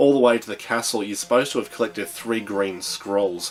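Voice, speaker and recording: A fairly quick delivery with an Australian accent. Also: man. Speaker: retro video game reviewer. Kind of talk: casual video review. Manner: halting, many filler ums.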